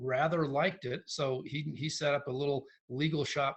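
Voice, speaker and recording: Somewhat breathy, a man speaks at a fairly high pitch. His pace is moderate and his intonation fairly even. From Santa Fe, New Mexico. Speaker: real estate firm CEO. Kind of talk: interview answer.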